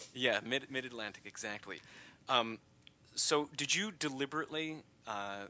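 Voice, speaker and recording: This man has an American accent, a medium pitch and a bright, sharp tone, and his intonation is lively. He moves at a moderate pace, broken by long, frequent pauses. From USA. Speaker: podcast host. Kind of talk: interview.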